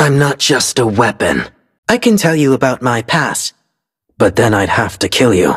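Using a put-on character voice, a man speaks at a fairly slow pace with a medium pitch, big pitch swings, a fairly bright tone and a husky, rough edge.

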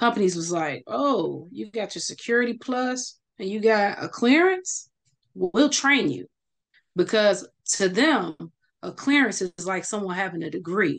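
A woman with an American accent talks at a fairly slow pace and medium pitch. Her intonation is lively against a quiet background. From Chicago. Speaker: cybersecurity engineer; cybersecurity trainer, guest. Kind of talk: interview. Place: home room. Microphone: video call.

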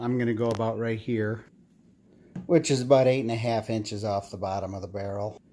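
With an unremarkable speaking voice, a man talks at a fairly quick pace, his fairly low pitch carrying fairly even intonation. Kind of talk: tutorial. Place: street. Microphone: phone near.

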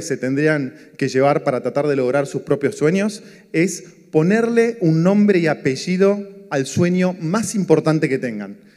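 Lively intonation marks a man's high-pitched voice with a Rioplatense accent, moving at a moderate pace. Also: quiet background. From Argentina, Buenos Aires. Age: 40s. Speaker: economist and entrepreneur, speaker; speaker. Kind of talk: motivational talk. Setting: stage with audience. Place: stage. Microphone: handheld.

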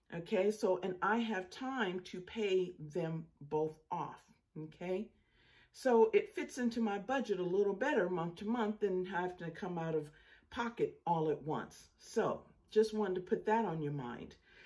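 Ordinary pitch variation runs through this voice against a quiet background. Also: woman, fairly slow pace. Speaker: home solar power vlogger. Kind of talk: casual vlog chat. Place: home room. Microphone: phone near.

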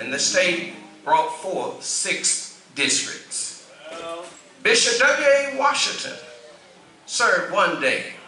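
Over music in the background, a man speaks at a very slow pace. His pitch swings very widely, and the room echo is audible. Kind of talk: formal address on church history. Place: church. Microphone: podium.

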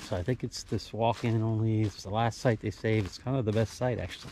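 There is light background noise as a man talks in a dry recording with no echo. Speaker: hiker vlogger. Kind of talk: casual vlog chat. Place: forest. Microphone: phone near.

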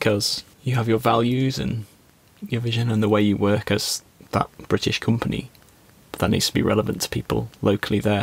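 This is a normal speaking voice with ordinary pitch variation. The sound is dry with no echo. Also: man. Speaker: podcast guest or co-host. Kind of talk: podcast conversation.

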